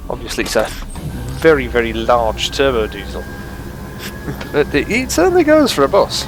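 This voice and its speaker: A man with an English accent speaks at a moderate pace, with long, frequent pauses. Music plays in the background. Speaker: sim racing gamer. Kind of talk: gameplay commentary. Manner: rambling casual.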